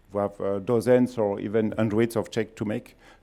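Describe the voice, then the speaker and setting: A man speaks with a dark, mellow tone at a fairly low pitch. His intonation stays monotone and flat. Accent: strong French. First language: French. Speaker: company founder and CEO. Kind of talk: conference talk. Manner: halting.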